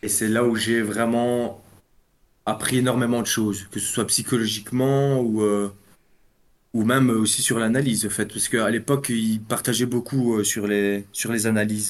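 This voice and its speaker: In a flat, monotone delivery, a man speaks at a medium pitch and a moderate pace. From Belgium. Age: 30s. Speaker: amateur trader. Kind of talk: interview.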